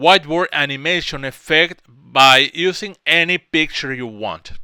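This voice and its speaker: The recording is very clean with a silent background, and the voice has a bright, sharp tone at a very slow pace. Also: man. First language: Spanish. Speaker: software tutorial creator. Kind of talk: tutorial. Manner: halting, with self-corrections.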